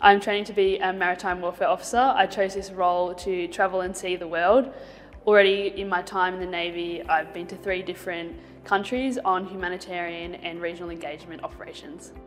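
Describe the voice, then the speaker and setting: Faint music sits in the background behind a voice with fairly even intonation. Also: woman, fairly quick pace. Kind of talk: interview answer. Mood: friendly, positive. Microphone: lapel.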